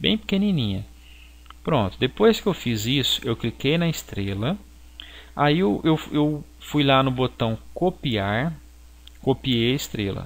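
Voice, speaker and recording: A man speaks at a very slow pace with long, frequent pauses and very wide pitch swings. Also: medium pitch for a man. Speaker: graphic design teacher. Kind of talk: software tutorial. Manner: halting.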